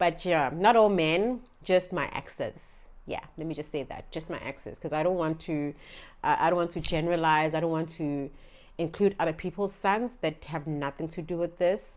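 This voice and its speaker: With a Zulu accent, a woman speaks at a fairly low pitch over a quiet background. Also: ordinary pitch variation, moderate pace. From South Africa, Durban area (KwaZulu-Natal). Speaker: vlogger. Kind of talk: storytime vlog. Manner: casual, chatty.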